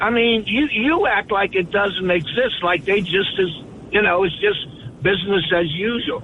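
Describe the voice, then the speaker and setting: With very even loudness and ordinary pitch variation, a high-pitched man speaks at a moderate pace amid noticeable background noise. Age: 70s. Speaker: caller. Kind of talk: heated debate. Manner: halting, stammering.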